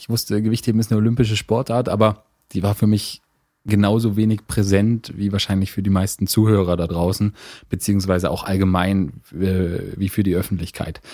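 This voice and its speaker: A man's fairly low, dark, mellow voice at a fairly quick pace, with fairly even intonation. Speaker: sports federation manager. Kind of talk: casual interview.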